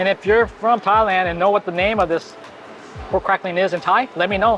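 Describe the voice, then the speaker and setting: Very fast speech over music in the background. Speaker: food and travel vlogger. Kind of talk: casual food vlog commentary. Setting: restaurant in Bangkok.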